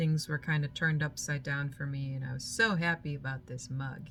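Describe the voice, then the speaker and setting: Over music in the background, a woman with a very deep, low pitch speaks at a moderate pace with fairly even intonation. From moved from Germany to the US as a child. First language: German. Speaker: spiritual vlogger. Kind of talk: reflective personal monologue.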